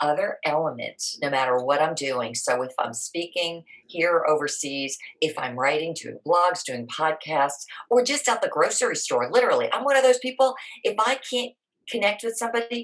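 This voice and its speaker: Her voice is fairly low and animated, with very wide pitch swings. This woman keeps a moderate pace. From New York City area. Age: 60s. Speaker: keynote speaker and writer. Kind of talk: interview conversation.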